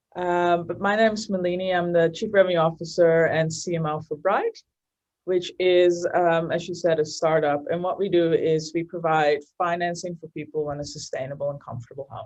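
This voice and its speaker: A woman speaks with a Dutch accent at a fairly low pitch. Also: big swings in loudness. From Netherlands, Amsterdam. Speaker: marketing executive. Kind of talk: interview. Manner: hesitant, many fillers.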